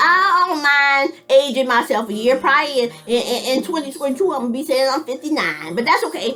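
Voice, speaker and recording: A woman's high-pitched, raised and projected voice at a fairly quick pace, over noticeable background noise. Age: 50s. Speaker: military veteran and vlogger. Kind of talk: casual monologue vlog. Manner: halting.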